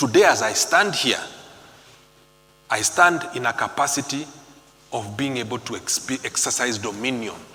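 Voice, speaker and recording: A man's medium-pitched voice with lively intonation, a moderate pace, long, frequent pauses, and noticeable background noise. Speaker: preacher. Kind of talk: sermon.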